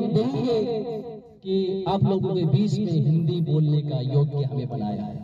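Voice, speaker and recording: A man with a Nepali accent speaks in very wide pitch swings. Noticeable background noise and audible room echo fill the recording. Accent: Nepali-accented Hindi. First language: Nepali (speaking Hindi). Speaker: pastor. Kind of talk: sermon.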